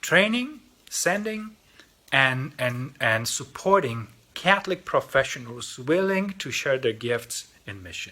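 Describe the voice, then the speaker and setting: At a fairly slow pace, a man talks with a fairly high pitch, big swings in loudness and very wide pitch swings. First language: Polish. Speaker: lay mission organization representative. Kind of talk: mission appeal talk. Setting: recorded video. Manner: halting, with repetitions.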